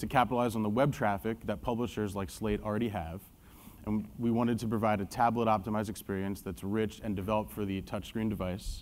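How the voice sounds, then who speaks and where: This man talks at a very fast pace with a fairly low pitch. His intonation stays fairly even. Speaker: marketing executive presenting a case study. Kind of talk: conference presentation. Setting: stage with audience. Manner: loud.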